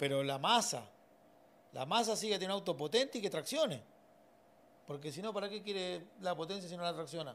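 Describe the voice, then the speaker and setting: With an Argentine accent, a man talks at a fairly quick pace in a high pitch, using lively intonation and long, frequent pauses. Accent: Argentine Spanish (voseo). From Argentina. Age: 40s. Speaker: mechanic and drag racing builder; podcast guest. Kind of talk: casual interview chat. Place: home room. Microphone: studio mic.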